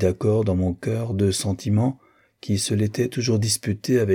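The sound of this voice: Just an unforced reading voice.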